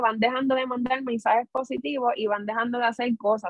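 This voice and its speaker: This woman speaks with a Puerto Rican accent. Her pitch is high. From Puerto Rico, Corozal. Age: 30s. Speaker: home care nurse supervisor. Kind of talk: radio interview.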